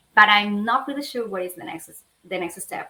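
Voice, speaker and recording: The woman speaks with an Argentine accent. Her pitch varies in an ordinary way. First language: Spanish. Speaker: lawyer. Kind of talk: interview. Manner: halting.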